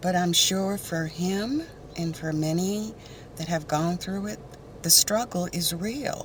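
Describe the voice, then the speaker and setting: Very slow speech from a woman at a medium pitch, with ordinary pitch variation, comes through noticeable background noise. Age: 60s. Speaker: beauty vlogger. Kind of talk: casual chat. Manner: halting.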